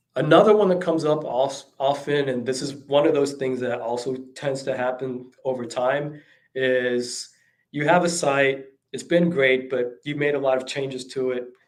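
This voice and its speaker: Audible room echo is present. The speaker keeps a moderate pace and fairly even intonation. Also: man, medium pitch for a man. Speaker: e-commerce consultant. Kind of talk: talk. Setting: livestream. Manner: halting, many fillers.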